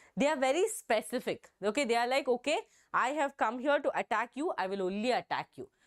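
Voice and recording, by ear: Over a silent background in a very clean recording, a woman speaks at a fairly quick pace in a fairly high voice with lively intonation.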